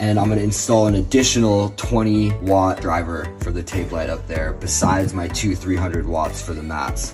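Over clear music in the background, a man talks at a moderate pace with hardly any pauses. His pitch is very deep and low, with ordinary variation. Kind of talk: tutorial. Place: home room. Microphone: phone near.

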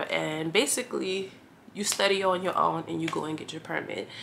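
Against light background noise, a woman speaks in a fairly low pitch with a bright, sharp tone. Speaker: truck driver vlogger. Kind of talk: casual vlog chat. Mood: relaxed, storytelling. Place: home room.

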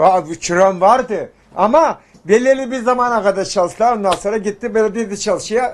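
This man talks at a moderate pace in a high voice with ordinary pitch variation. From Turkey. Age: 80s+. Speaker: tailor. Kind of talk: interview. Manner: halting. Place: shop.

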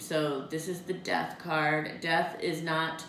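Very slowly, a woman with a fairly low voice speaks amid light background noise and audible room echo. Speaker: tarot card reader. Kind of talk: monthly forecast reading to camera. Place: home room. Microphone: camera far.

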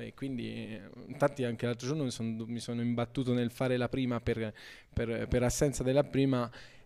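This man talks fairly quickly in a dark, mellow tone, his intonation flat and monotone, over a quiet background. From Montepulciano, Tuscany, Italy. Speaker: band member. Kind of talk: interview answer. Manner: halting, hesitant. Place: shop. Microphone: handheld.

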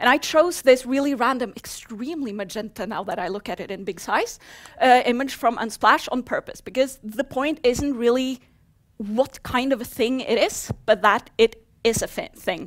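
A woman with a Norwegian accent speaks in a high pitch with ordinary pitch variation. Her loudness swings widely over a quiet background. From Norway. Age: 30s. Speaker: software developer; conference speaker. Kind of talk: conference talk. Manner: fast. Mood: humorous, lively. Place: hall.

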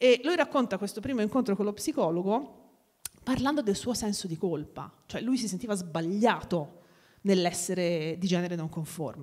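A woman's lively intonation at a moderate pace against a quiet background. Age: 40s. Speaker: sociolinguist; guest. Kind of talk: talk at a live event. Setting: stage with audience. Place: hall. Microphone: handheld.

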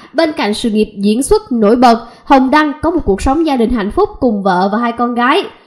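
With lively intonation and hardly any pauses, the speech moves at a fairly quick pace over noticeable background noise. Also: woman, high pitch for a woman. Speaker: online news channel presenter. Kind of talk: scripted news narration.

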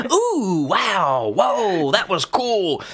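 At a high pitch, a man performs a put-on character voice. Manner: mocking.

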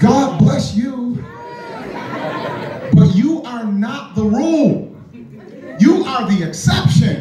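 A man talking at a very slow pace, with audible room echo and music in the background. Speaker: stand-up comedian. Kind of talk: stand-up comedy routine. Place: stage.

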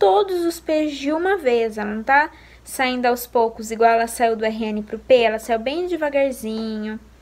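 Her delivery moves neither fast nor slow. The woman's pitch rises and falls in a typical way. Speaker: mother vlogger. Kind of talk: casual vlog chat. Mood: calm, soft-spoken. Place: home room. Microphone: phone near.

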